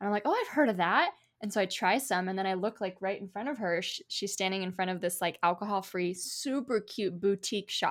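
Here is a woman with a normal speaking voice and ordinary pitch variation. She goes at a fairly quick pace with hardly any pauses. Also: medium pitch for a woman. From US, Polish immigrant family. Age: 30s. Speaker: author. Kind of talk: interview.

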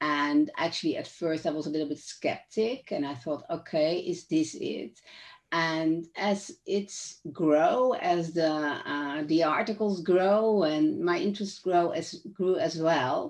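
In a Dutch accent, this very slow speaker uses ordinary pitch variation and hardly any pauses against a quiet background. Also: woman, fairly low pitch for a woman. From Netherlands. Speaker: author and neuroscience trainer. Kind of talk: casual chat.

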